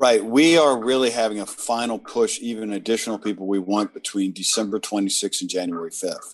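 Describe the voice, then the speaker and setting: A man with an American accent talks at a fairly quick pace in a medium pitch with ordinary pitch variation, an unremarkable speaking voice over a quiet background. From US South. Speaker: labor union leader. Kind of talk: interview.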